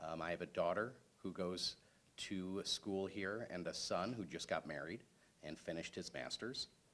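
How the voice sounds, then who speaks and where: A man's very deep, low voice with ordinary pitch variation and a Chicago accent. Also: moderate pace. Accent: Chicago-area American. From Chicago area, Illinois. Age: 40s. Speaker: political candidate, civil engineer. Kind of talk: candidate forum speech.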